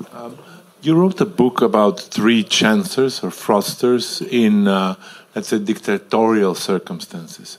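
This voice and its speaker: A man talks at a fairly slow pace, his pitch swinging very widely. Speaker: audience member. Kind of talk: Q&A. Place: hall.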